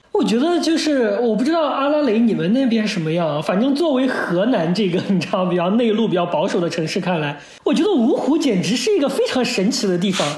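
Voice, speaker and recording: The speech moves at a fairly quick pace with noticeable background noise behind it. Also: hardly any pauses. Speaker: podcast co-host. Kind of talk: casual chat.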